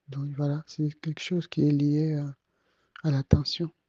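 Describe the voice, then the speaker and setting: A man speaks softly and very slowly, somewhat breathy. His voice sits fairly high, with a dark, mellow tone. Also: dry, close sound with no echo, quiet background. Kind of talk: testimony. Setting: at home, night audio recording. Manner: soft-spoken; halting.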